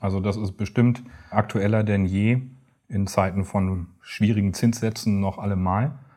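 On a very clean recording with a silent background, a man speaks at a fairly slow pace with a fairly low pitch, a dark, mellow tone and fairly even intonation. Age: 40s. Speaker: pension insurance advisor. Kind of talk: interview.

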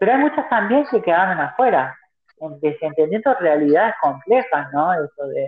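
A woman's fairly low voice at a moderate pace, swinging very widely in pitch, with music in the background. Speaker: activist. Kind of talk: interview. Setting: phone call. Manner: halting. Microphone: phone held far from mouth at first.

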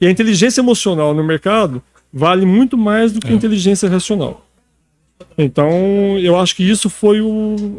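Speaking at a high pitch with ordinary pitch variation, a man leaves long, frequent pauses in a dry, close sound with no echo. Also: moderate pace. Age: 50s. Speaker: doctor and day trader. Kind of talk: live panel discussion.

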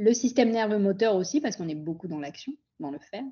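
The speaker keeps a moderate pace. The voice is somewhat breathy. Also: woman. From France and Pondicherry, India. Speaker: physician and integrative health coach. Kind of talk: interview.

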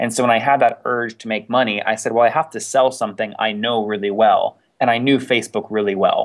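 Here a man talks at a fairly quick pace. His voice is medium in pitch. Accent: American. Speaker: startup founder. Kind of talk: podcast interview. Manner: animated.

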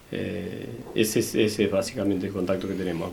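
There's audible room echo and noticeable background noise as a man talks with fairly even intonation. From Argentina, Necochea (Buenos Aires province). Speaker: vehicle inspection plant manager. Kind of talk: interview. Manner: halting.

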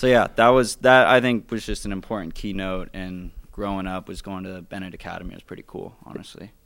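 A man with an American accent talks at a very fast pace and a fairly low pitch, with fairly even intonation and big swings in loudness. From Phoenix, Arizona. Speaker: vintage clothing store owner. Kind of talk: casual chat.

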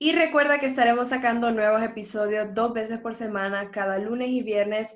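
A woman speaks in an ordinary speaking voice at a fairly high pitch. Her pace is moderate and her intonation fairly even. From Honduras, San Pedro Sula. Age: 20s. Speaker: podcast host, marketing student. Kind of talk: scripted outro; casual chat.

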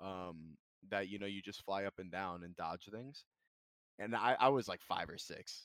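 Using a plain, everyday voice, a man speaks at a fairly low pitch and moderate pace with ordinary pitch variation and big swings in loudness, the sound dry and close with no echo. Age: 20s. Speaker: streamer. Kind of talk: casual chat.

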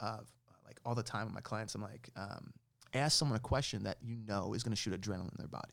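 With an American accent and some vocal fry, a man speaks at a fairly quick pace on a very clean recording with a silent background. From New York City / Jersey City area. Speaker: musician. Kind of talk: casual interview.

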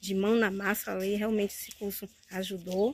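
This woman speaks at a medium pitch. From Bahia, Brazil. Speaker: course student. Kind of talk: testimonial. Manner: halting.

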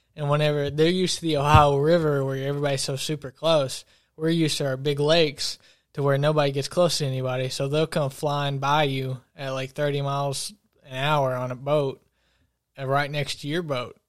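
With an Appalachian accent, a man talks at a fairly quick pace in a fairly high, monotone voice with flat intonation, on a very clean recording with a silent background. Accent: Appalachian Kentucky. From eastern Kentucky, Wolfe County. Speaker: college student. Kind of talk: casual chat.

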